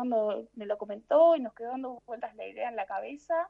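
Speaking at a fairly quick pace in a Rioplatense accent, a woman has a fairly high pitch and a dark, mellow tone. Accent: Argentine Spanish (rioplatense). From Argentina. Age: 30s. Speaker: traveler and translator. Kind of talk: interview conversation.

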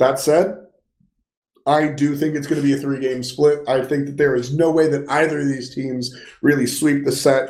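With audible room echo, a man speaks in a monotone, flat intonation. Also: moderate pace. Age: 20s. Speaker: esports podcast co-host. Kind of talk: casual chat. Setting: home.

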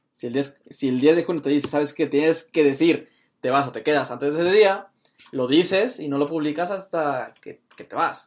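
A man with an unremarkable speaking voice talks at a moderate pace, his pitch fairly high for a man with ordinary variation, his loudness swinging widely against a quiet background. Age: 20s. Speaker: podcast host. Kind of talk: casual chat.

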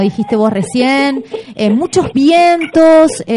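Noticeable background noise sits behind a woman whose high voice carries lively intonation. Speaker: radio host. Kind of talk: casual radio chat. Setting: radio studio.

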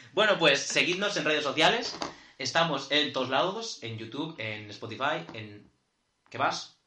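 A man's fairly high voice at a fairly slow pace, with very wide pitch swings, big swings in loudness and audible room echo. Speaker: podcast co-host. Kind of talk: casual chat.

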